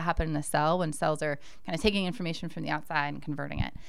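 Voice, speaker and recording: Very fast speech from a woman, with noticeable background noise behind it. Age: 40s. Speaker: professor. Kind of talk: interview.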